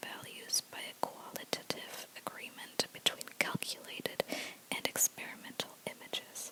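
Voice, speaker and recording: The words are whispered at a fairly slow pace. Noticeable background noise sits behind them. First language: not English. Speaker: ASMR creator. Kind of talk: reading aloud. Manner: soft-spoken; halting.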